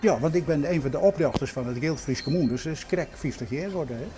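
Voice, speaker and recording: Very fast delivery with lively intonation. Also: man. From Utrecht, Netherlands. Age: 80s+. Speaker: miller. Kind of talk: interview. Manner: halting.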